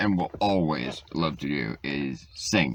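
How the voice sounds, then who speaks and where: This man has a very deep, low pitch and ordinary pitch variation. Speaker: vlogger. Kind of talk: casual monologue answering get-to-know-you questions. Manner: loud; animated, talkative.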